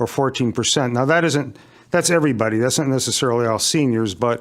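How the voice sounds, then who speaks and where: With ordinary pitch variation, a man delivers his words in a plain, everyday voice pitched at a medium level. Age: 60s. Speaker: resident speaking at public hearing. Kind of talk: public comment at town meeting. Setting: town commission meeting.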